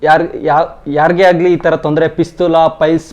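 A man's fairly high-pitched voice in a flat, monotone delivery. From Karnataka, Tumakuru district, Sira taluk village. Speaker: patient. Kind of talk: testimony.

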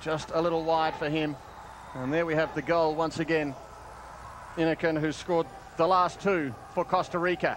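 Against noticeable background noise, a man talks with long, frequent pauses. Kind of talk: live sports commentary. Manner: animated, with exclamations.

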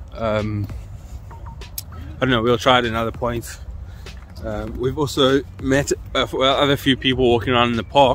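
A man speaks at a moderate pace with fairly even intonation. Faint music plays in the background, and the sound is dry with no echo. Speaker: urban explorer vlogger. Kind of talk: casual vlog chat. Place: open country. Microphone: phone near.

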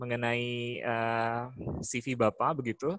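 The sound is dry, without any echo. It is a man talking. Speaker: teacher. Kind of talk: formal webinar moderation. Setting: video call. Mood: polite, welcoming. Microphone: video call.

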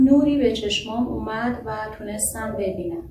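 A woman with a fairly high pitch and very wide pitch swings, at a fairly slow pace, over noticeable background noise. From Iran. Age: 30s. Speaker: recovered patient. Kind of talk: testimony. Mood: earnest, recalling hardship. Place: home room.

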